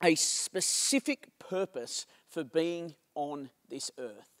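Quiet surroundings behind a male speaker. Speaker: senior pastor. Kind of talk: sermon. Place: stage. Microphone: handheld.

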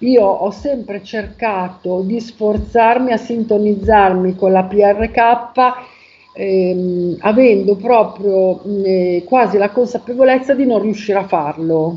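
A very slow pace with ordinary pitch variation. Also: woman. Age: 50s. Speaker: testimonial giver. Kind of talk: testimony. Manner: halting. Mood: calm, reflective. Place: home room. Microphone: video call.

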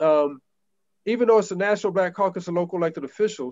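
This man speaks with an American accent at a high pitch, his pitch varying in an ordinary way. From US Midwest, Ohio. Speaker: city councilman. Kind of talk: council meeting remarks. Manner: halting, many fillers. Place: home room. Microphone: video call.

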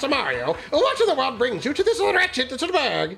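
The voice is high-pitched and put on as a character. Its pace is moderate. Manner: hoity-toity, haughty.

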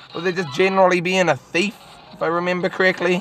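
Faint music plays in the background. The sound is dry with no echo. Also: woman. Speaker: gamer. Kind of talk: game commentary. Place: car.

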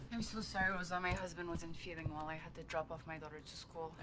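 Over loud background noise, a woman uses a put-on character voice that sounds strained, with a fairly low pitch and a moderate pace. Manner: polite and strained, then exasperated.

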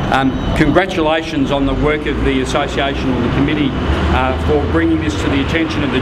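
Someone with an Australian accent talks at a fairly quick pace over loud background noise. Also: man. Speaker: lawyer and rally speaker. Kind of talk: rally speech. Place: street.

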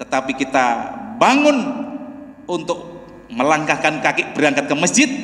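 With audible room echo, a man with a fairly high pitch speaks at a fairly slow pace and swings his pitch very widely. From Indonesia. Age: 60s. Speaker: preacher; mosque preacher. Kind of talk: sermon. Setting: mosque. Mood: warm, smiling. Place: church. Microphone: podium.

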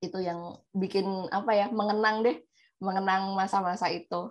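A woman's monotone, flat delivery at a moderate pace, over a quiet background. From Indonesia. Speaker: former overseas student; talk show guest, friend of pastor. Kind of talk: testimony. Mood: warm, nostalgic. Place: home room. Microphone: video call.

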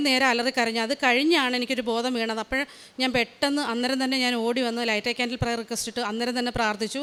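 High pitch and a bright, sharp tone from a woman. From Kerala, Alappuzha district (Haripad). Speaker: nurse. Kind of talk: testimony. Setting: church altar.

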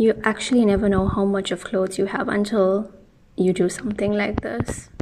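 Over light background noise, a woman speaks at a moderate pace with fairly even intonation. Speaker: room makeover vlogger. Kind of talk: casual vlog chat. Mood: relaxed, friendly. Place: home room.

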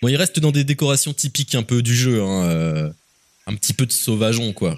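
With very wide pitch swings and a fairly quick pace, a man is captured in a dry, close sound with no echo. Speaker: gaming youtuber / streamer. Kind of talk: video reaction commentary. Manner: casual, conversational.

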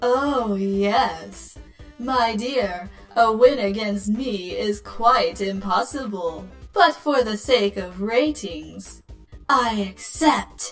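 A female-sounding voice puts on a character voice at a very slow pace. Faint music plays in the background. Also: medium pitch for a woman. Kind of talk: showbiz host theatrics. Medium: fan dub. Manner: flamboyant, flirtatious, smug, theatrical; vain, self-assured.

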